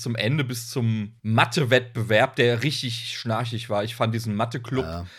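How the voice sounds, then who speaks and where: Delivered at a moderate pace, a plain, everyday voice keeps a fairly even intonation. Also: man. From northern Germany. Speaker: trash film podcaster. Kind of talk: casual chat.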